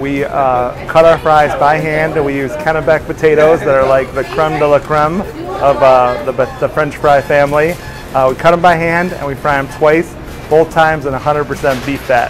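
Clear music plays in the background. Over it, a man speaks in a monotone, flat intonation. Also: moderate pace. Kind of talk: casual explanatory tour talk. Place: kitchen. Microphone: lapel.

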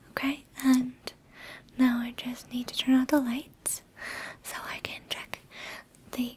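Whispering at a very slow pace, the voice leaves long, frequent pauses and swings widely in loudness. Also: woman. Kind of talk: soft-spoken role-play to viewer. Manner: soft, gentle ASMR doctor voice. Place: home room.

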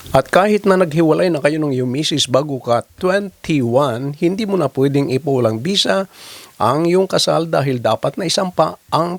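A man with a plain, everyday voice speaks at fairly high pitch with lively intonation. The sound is dry and close, with no echo. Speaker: lawyer answering viewer legal questions. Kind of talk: legal explainer video.

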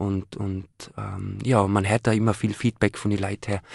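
The man's fairly low voice moves at a moderate pace with a monotone, flat intonation in a dry sound with no echo. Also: quiet background. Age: 30s. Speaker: young entrepreneur; guest. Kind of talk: live radio interview. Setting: radio studio. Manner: hesitant with many fillers. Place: studio.

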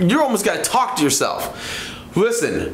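A man with audible room echo. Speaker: presenter. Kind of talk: motivational talk to camera. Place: studio.

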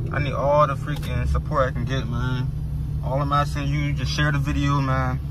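Loud background noise accompanies a man's voice, which sounds dry with no echo. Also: moderate pace. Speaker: driver vlogger. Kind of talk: casual vlog chat. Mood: playful, boastful. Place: car.

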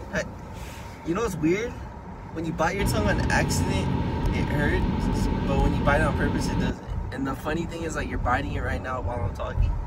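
Loud background noise accompanies a man speaking at a fairly quick pace, with a dry sound and no echo. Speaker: vlogger passenger. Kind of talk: casual vlog chat. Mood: playful, laughing. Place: car.

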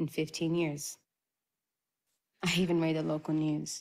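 A woman speaks at a moderate pace in a low register. Her pitch barely moves.

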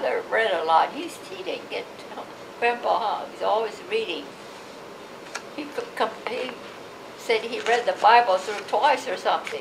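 A woman talks with long, frequent pauses and big swings in loudness over noticeable background noise. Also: moderate pace. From Los Angeles, California. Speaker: oral history interviewee, Japanese American; interviewee. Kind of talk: oral history interview answer. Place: home room. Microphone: camera far.

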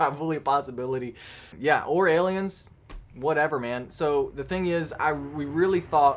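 The speaker is a man. His intonation is fairly even and his pace moderate. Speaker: drone hobby vlogger. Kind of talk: casual vlog chat. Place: workshop. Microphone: phone near.

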